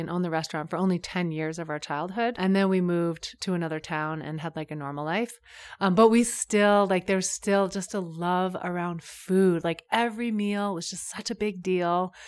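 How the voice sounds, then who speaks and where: On a very clean recording with a silent background, a woman with a fairly low pitch talks at a fairly quick pace with ordinary pitch variation. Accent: American. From US Northeast, coast of Maine. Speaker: yoga and mindfulness teacher. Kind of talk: casual interview. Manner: animated.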